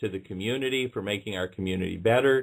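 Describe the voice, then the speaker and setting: With a silent background, a very clean recording captures a man talking. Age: 60s. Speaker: radio show guest, community activist. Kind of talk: radio interview. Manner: halting, with frequent fillers and restarts.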